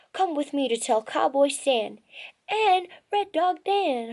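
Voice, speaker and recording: A woman's put-on character voice, high-pitched, at a fairly slow pace. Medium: read story. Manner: excited, folksy.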